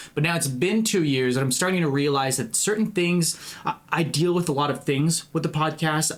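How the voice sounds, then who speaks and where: A man talks at a moderate pace with hardly any pauses, very even loudness and ordinary pitch variation. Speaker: podcast host. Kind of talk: casual monologue. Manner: halting, many fillers and repeats.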